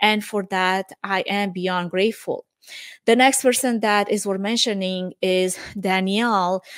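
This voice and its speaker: Speaking in a Romanian accent, a woman of medium pitch uses fairly even intonation at a fairly slow pace in a very clean recording with a silent background and a dry, close sound without echo. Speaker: event production podcast host. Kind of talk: solo reflective monologue.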